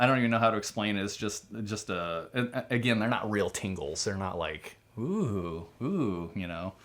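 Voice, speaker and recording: With ordinary pitch variation, the speaking goes at a moderate pace and has hardly any pauses. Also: man, fairly low pitch for a man. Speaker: doctor and channel host. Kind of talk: casual chat. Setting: recording with his wife. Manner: loud; halting.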